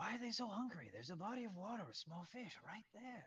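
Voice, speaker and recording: Putting on a character voice, a man talks at a very fast pace with a high pitch. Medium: actual play.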